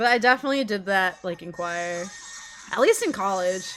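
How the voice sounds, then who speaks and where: Music plays behind a woman whose medium-pitched voice has lively intonation. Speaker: game streamer. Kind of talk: casual chat.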